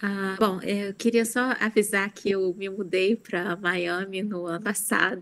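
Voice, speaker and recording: Fairly even intonation marks this speaker's unremarkable speaking voice. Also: woman. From Brazil, Rio de Janeiro. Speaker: writer and law professor. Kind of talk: interview.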